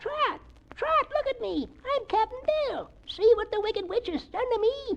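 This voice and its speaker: A woman does a put-on character voice that is squeaky and extremely high-pitched, with lively intonation. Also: moderate pace. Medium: read story. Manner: gruff, salty.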